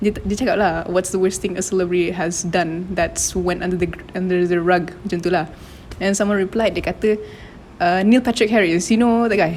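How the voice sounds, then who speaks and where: Over noticeable background noise, the voice moves at a fairly quick pace with fairly even intonation. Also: woman, medium pitch for a woman. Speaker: podcast co-host. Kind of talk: casual chat.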